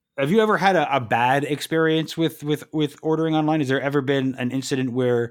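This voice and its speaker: An unremarkable speaking voice from a man at a fairly quick pace, fairly even in intonation, on a very clean recording with a silent background. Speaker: podcast co-host, writer and performer. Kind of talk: casual chat.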